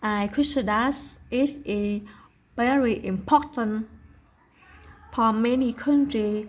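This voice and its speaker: A woman speaks very slowly in a Vietnamese accent, her voice somewhat breathy. Her pitch is fairly high and varies in an ordinary way. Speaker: English learner. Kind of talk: prepared presentation.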